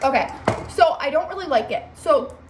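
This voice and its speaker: Noticeable background noise sits under this woman's voice. She talks at a moderate pace with lively intonation. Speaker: beauty vlogger. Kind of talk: makeup tutorial. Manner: casual, filler-heavy.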